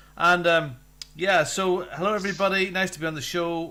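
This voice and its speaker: A man's high, bright, sharp voice with a Northern English accent. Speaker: show DJ.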